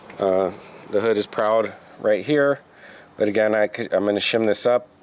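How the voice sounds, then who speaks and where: A man with fairly even intonation keeps a moderate pace while noticeable background noise carries on. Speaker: car restoration youtuber. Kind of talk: casual tutorial walkthrough. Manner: halting, many fillers.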